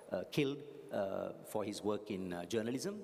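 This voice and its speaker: With audible room echo, a man talks at a moderate pace. His pitch makes very wide swings. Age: 60s. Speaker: graduation speaker. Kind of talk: commencement address. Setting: graduation hall with audience.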